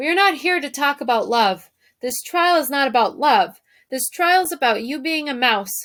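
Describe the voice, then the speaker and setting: A woman shouting in a high-pitched, put-on character voice at a moderate pace. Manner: shouting, pompous.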